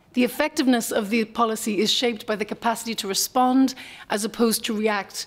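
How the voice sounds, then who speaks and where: A woman speaks in an Irish accent. Her voice is fairly high, with ordinary pitch variation. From Ireland. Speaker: NGO policy analyst, former professor. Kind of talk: conference panel talk. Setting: conference panel with audience. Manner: fast.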